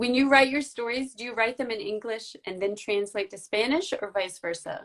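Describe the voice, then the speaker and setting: In an American accent, a woman with an ordinary speaking voice talks at a moderate pace and a fairly high pitch, with ordinary pitch variation. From United States. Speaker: book blogger and interviewer. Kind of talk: interview. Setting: social media live video.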